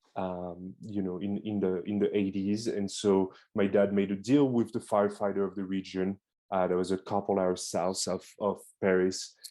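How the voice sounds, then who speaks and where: Over a quiet background, a man with a French accent talks at a moderate pace with hardly any pauses, his fairly low, dark, mellow voice held in a monotone, flat intonation. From France. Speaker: beekeeper. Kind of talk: presentation. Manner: hesitant.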